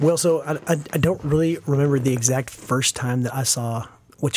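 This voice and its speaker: This American man talks at a moderate pace in a medium pitch, with fairly even intonation and an American accent. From small-town US. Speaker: podcast co-host. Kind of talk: personal testimony. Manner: halting.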